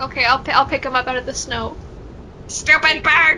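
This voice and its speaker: Over clear background noise, a female-sounding voice uses a put-on character voice at a high pitch for a woman. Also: moderate pace. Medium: actual play.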